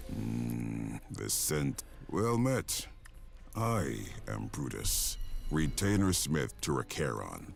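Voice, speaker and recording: A man puts on a character voice and speaks at a very slow pace. Background noise is clearly audible. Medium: video game. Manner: solemn, archaic phrasing.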